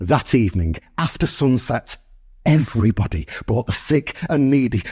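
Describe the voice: Here is plain reading aloud. The intonation is lively.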